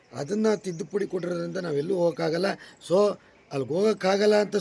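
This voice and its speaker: The man's voice is high in pitch. Its pitch variation is ordinary. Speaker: comedian and travel vlogger. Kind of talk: casual travel vlog.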